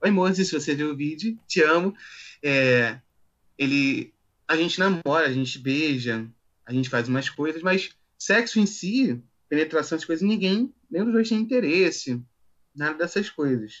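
Man at a fairly high pitch, moderate pace, lively intonation, long and frequent pauses. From Rio de Janeiro, Brazil. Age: 20s. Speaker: office assistant, interviewee. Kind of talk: interview.

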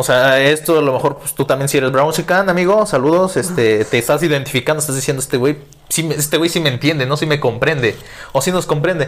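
His pitch sits fairly high for a man and varies in an ordinary way. He talks at a very fast pace. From Mexico, Guerrero. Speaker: podcast co-host. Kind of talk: casual chat. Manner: animated.

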